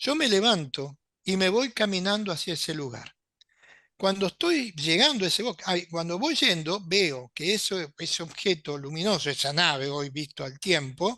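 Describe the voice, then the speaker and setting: A man's high voice in an Argentine accent, bright and sharp, with lively intonation at a moderate pace over a quiet background. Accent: Rioplatense Argentine Spanish. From Argentina, Buenos Aires. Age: 70s. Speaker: UFO contactee and writer. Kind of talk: interview storytelling.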